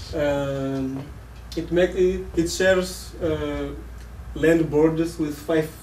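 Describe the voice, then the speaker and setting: In a room with audible echo and noticeable background noise, a man speaks with a Portuguese accent. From Mozambique. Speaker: visiting college project worker. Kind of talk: presentation. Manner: halting.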